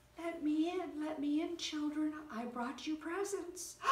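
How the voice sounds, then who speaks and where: Doing a put-on character voice at an extremely high pitch, a woman speaks at a fairly slow pace with audible echo. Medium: read story. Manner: wheedling.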